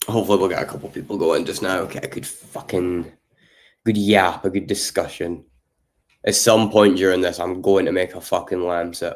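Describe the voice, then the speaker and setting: In a put-on character voice, a man speaks hoarsely at a fairly quick pace with a very deep, low pitch. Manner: flat, monotone, not expressive.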